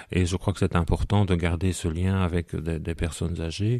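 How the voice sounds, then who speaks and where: This man's voice sits at a very deep, low pitch. His tone is dark and mellow. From Belgium, Hainaut (Soignies). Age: 40s. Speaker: deacon. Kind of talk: radio interview. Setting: at home, living room. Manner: halting, frequent repetitions.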